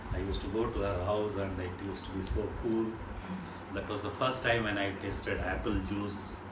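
A man speaks at a moderate pace. Noticeable background noise is present. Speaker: interview guest. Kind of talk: interview answer, storytelling. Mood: warm, nostalgic, amused. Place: home room. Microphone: camera far.

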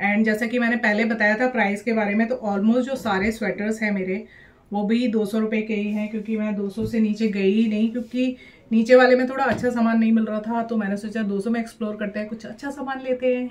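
The delivery holds to a moderate pace. This woman's intonation sounds monotone and flat. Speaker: fashion haul vlogger. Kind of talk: casual vlog chat. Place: home room. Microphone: phone near.

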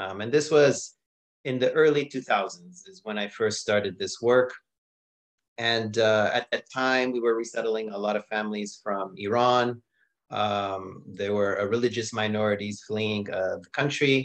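A man with an American accent speaks at a moderate pace and fairly even intonation. He leaves long, frequent pauses against a quiet background. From US, born to Palestinian refugee family. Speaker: nonprofit operations director. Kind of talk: interview. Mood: calm, earnest. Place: home room. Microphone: video call.

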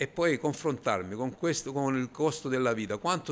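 Against light background noise, a man talks at a fairly quick pace with lively intonation. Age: 50s. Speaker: business owner, baker. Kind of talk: street interview. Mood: angry, frustrated. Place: shop. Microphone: handheld.

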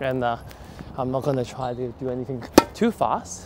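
Loud background noise sits behind a man speaking at a moderate pace, his voice dry with no echo. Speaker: tennis coach. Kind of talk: running commentary while playing. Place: open country. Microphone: lapel.

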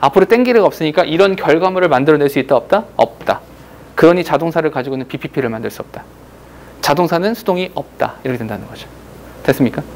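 Big swings in loudness and lively intonation mark very fast speech over light background noise. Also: man, fairly high pitch for a man. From South Korea. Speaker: English grammar teacher. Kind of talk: lecture. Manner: animated. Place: classroom.

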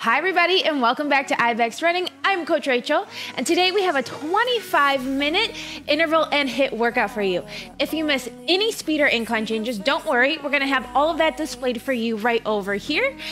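A woman's high voice at a fairly quick pace, with faint music in the background. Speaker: running coach. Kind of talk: workout class instruction. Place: home room. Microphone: headset.

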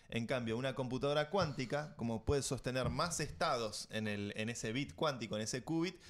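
Here a man speaks with an Argentine accent. His pitch variation is ordinary. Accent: Argentine Spanish (Rioplatense). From Argentina. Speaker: tech podcast host. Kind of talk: casual chat. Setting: studio. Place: studio. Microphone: studio mic.

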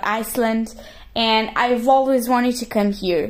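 Speaking in a Portuguese accent, a woman keeps a fairly slow pace, a fairly high pitch and fairly even intonation. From Portugal. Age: 20s. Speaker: geology graduate. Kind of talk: vlog voiceover narration.

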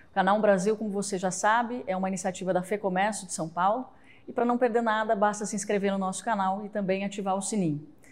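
A woman speaks very fast, keeping her intonation fairly even. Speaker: interviewer, host. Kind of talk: interview introduction and question. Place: studio. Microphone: lapel.

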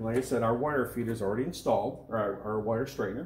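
The recording has audible room echo and light background noise. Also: man. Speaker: equipment product demonstrator. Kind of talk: tutorial. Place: workshop.

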